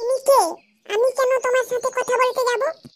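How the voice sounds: A woman uses a cartoonish character voice at an extremely high pitch. She speaks at a moderate pace with monotone, flat intonation.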